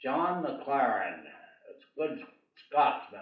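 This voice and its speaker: Speaking very slowly, a man is heard with audible room echo. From New England, Vermont. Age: 90s. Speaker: church parishioner, military veteran. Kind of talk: oral history storytelling. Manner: halting, frequent fillers.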